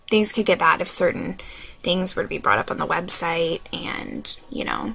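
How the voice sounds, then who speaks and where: There is noticeable noise in the background. Over it, a woman talks at a moderate speed. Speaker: website founder video blogger. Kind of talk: casual vlog. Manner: filler-heavy, hesitant.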